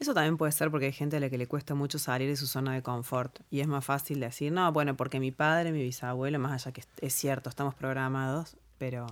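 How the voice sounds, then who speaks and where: A woman's very deep, low voice, flat and monotone, at a very fast pace in a very clean recording with a silent background. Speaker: NLP practitioner and co-host. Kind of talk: casual chat.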